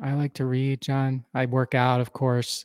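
In a dry, close recording with no echo, a man with an American accent speaks at a medium pitch. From US Northeast (Philadelphia area). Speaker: entrepreneur and business advisor. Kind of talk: podcast interview. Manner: hesitant fillers, storytelling.

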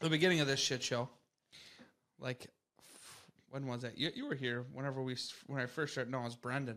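A man with a medium-pitched voice and a bright, sharp tone talks at a very fast pace with fairly even intonation, broken by long, frequent pauses. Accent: Upper Midwest. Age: 20s. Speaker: podcast co-host. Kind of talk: casual chat.

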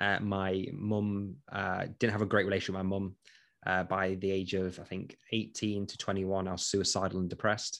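Delivered at a moderate pace with monotone, flat intonation, the speech comes through in a very clean recording with a silent background. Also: man, fairly low pitch for a man. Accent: East Midlands. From English East Midlands, Nottinghamshire. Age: 30s. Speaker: entrepreneur, former police detention officer. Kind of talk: interview. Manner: hesitant, frequent fillers.

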